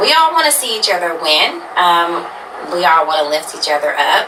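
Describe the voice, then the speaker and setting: A woman speaks at a moderate pace with a fairly low pitch. Noticeable background noise and audible room echo surround her. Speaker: media personality / radio host. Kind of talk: interview.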